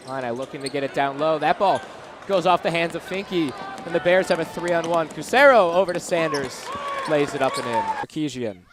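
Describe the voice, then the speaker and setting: A man's high-pitched voice at a fairly quick pace, with noticeable background noise. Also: ordinary pitch variation. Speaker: sports play-by-play announcer. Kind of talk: basketball play-by-play.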